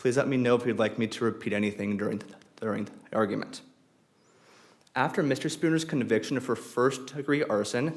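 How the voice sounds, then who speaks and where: A man talks at a fairly quick pace, his loudness swinging widely. His pitch varies in an ordinary way, and room echo can be heard. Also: medium pitch for a man. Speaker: law student intern arguing appeal. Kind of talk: appellate oral argument. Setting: courtroom. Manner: halting, repeats words.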